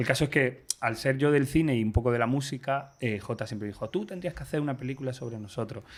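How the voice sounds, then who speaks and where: A man with an Andalusian accent speaks at a very fast pace with hardly any pauses. His pitch is medium. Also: ordinary pitch variation. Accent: Granada accent, noticeable. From Granada, Andalusia, Spain. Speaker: screenwriter. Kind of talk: interview. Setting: library in Madrid.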